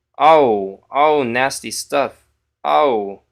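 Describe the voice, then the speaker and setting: Ordinary pitch variation from a male speaker. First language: Polish. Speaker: chess streamer. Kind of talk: live stream commentary.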